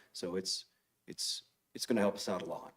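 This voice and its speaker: This speaker is a man. He talks with an American accent. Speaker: police officer. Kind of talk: public comment at council meeting. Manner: halting, many fillers.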